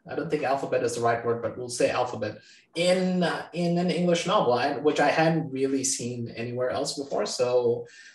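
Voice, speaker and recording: Fairly quick speech from a man with a Bengali accent, fairly high pitch and ordinary pitch variation, set against noticeable background noise. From Bangladesh. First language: Bangla. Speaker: novelist. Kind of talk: interview.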